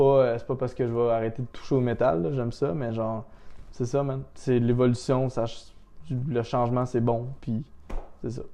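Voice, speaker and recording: This man talks at a moderate pace and medium pitch, with a dark, mellow tone. His intonation is fairly even, broken by long, frequent pauses. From Quebec, Laurentians. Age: 30s. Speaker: snowboarder and sales rep. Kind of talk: casual chat.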